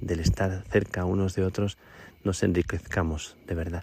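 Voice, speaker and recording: The man's voice is very deep and low, with a dark, mellow tone and a somewhat breathy quality. He talks at a fairly slow pace with fairly even intonation, in a very clean recording over a silent background. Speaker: priest. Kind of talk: radio report. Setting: outdoors at night on a mountain.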